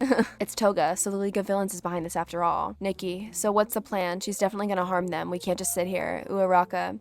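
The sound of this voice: An unforced reading voice is heard here.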